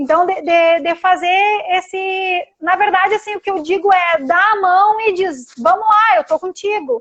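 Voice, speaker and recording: The speaker talks at a fairly slow pace with hardly any pauses. Pitch varies in an ordinary way. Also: woman, extremely high pitch for a woman. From Rio Grande do Sul, Brazil. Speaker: occupational therapist. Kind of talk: live-stream interview. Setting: Instagram live video call.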